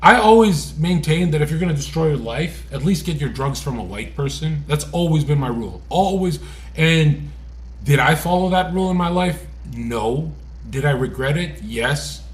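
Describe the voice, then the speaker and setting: The speaker has an Albanian accent and talks at a moderate pace. Room echo is audible. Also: man. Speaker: streamer. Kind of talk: casual chat. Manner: animated.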